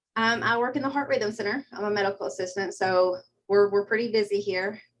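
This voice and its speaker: Speaking at a fairly quick pace, a woman has a Kentucky accent and medium pitch. Her pitch variation is ordinary. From southeastern Kentucky, Pineville. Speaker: medical assistant. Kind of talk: interview.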